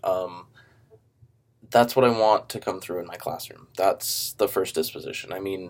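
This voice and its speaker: Ordinary pitch variation marks a man's moderately paced speech. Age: 20s. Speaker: student teacher. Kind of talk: self-recorded video assignment. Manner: casual, with many fillers.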